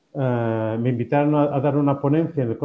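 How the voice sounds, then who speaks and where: The man's pitch is fairly high and his pace fairly quick. He has a plain, everyday voice. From Spain. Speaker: professor and happiness researcher. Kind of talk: interview.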